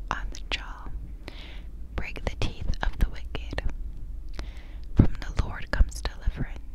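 A soft-spoken woman, whispering. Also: fairly slow pace. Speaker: ASMR creator. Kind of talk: whispered ASMR scripture reading. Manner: soft close-mic ASMR whisper. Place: home room. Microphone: lapel.

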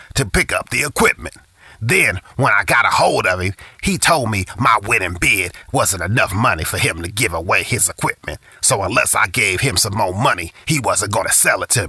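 A man performs a raspy, put-on character voice. He speaks at a medium pitch and a moderate pace. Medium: cartoon. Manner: exasperated, then upbeat.

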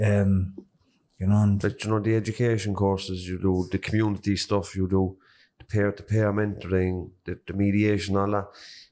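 A man with a Cork accent talks at a moderate pace in a fairly low, dark, mellow voice. His intonation stays monotone and flat. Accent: Cork Irish. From Cork, Ireland (north side); Ireland. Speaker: podcast host. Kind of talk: interview. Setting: prison. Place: classroom. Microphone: handheld.

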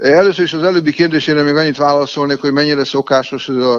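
A man talks at a very fast pace with fairly even intonation. His pitch is fairly high, and the background is quiet. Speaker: interpreter and university lecturer. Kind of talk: interview. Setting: phone call. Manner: formal.

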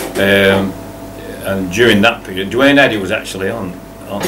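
A man with a Lancashire accent and a very deep, low pitch at a moderate pace, with noticeable background noise. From Blackburn, Lancashire, England. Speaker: entertainer, singer-songwriter. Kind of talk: interview answer. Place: cafe. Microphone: camera far.

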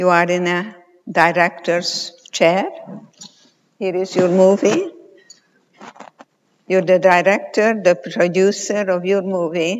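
With fairly even intonation, a woman talks very slowly. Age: 80s+. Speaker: clinical psychologist and Holocaust survivor. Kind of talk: conference talk. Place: stage.

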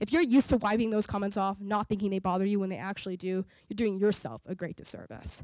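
A woman with an American accent speaks at medium pitch in a dark, mellow tone. The background is quiet and the sound dry with no echo. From US South, New Orleans, Louisiana; Louisiana. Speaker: entrepreneur and inventor; guest. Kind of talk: public talk. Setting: stage with audience. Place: hall. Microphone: handheld.

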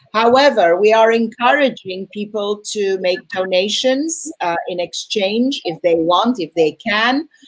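A woman in an ordinary speaking voice talks at a fairly slow pace and a fairly high pitch, with lively intonation and hardly any pauses. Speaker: film festival host. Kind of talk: event introduction. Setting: video call.

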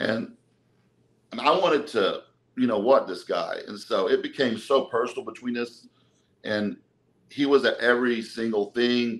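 This man speaks with an American accent at a moderate pace. He takes long, frequent pauses. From Texas, Dallas. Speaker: bodybuilder and personal trainer; podcast guest. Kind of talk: casual interview, personal life story. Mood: emotional, recounting hard past. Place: home room. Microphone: video call.

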